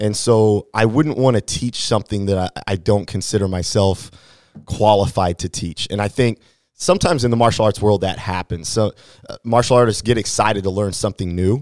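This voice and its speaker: The voice has a Midwestern American accent, a fairly quick pace and ordinary pitch variation. The recording is very clean, with a silent background and a dry, close sound with no echo. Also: man, fairly low pitch for a man. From Hannibal, Missouri, US Midwest. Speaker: martial arts instructor. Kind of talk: interview.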